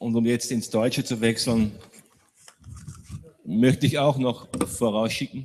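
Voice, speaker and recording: A fairly slow pace broken by long, frequent pauses. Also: man, medium pitch for a man. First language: German. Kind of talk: panel discussion.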